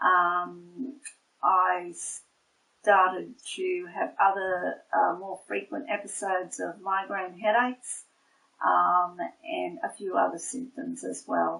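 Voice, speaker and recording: With an Australian accent, a woman speaks at a very slow pace with long, frequent pauses. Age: 60s. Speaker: nurse. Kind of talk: testimony. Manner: hesitant, many fillers.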